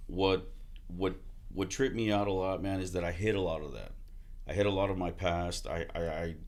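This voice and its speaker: A man's very deep, low voice with an American accent, fairly even intonation, a fairly quick pace and audible room echo. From Texas, Houston area. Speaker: army veteran and car salesman. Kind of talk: casual podcast interview.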